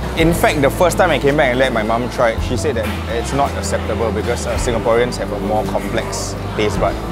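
Loud music fills the background. Over it, a man speaks fairly quickly. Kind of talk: interview answer. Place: market. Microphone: lapel.

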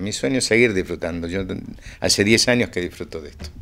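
Here a man speaks with lively intonation. His pitch is fairly low. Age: 60s. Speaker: percussionist; interviewee. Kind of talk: interview. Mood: warm, reflective. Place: home room. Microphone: handheld.

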